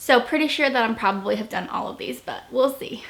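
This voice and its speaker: Against noticeable background noise, a woman speaks in a high pitch. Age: 20s. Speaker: YouTuber and mom. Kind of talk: casual vlog chat.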